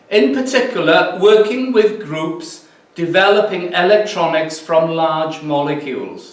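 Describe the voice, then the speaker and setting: A man with a Welsh accent at a high pitch and ordinary pitch variation, speaking at a fairly slow pace amid noticeable background noise and audible room echo. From mid Wales. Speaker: physics professor. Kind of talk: lecture. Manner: halting.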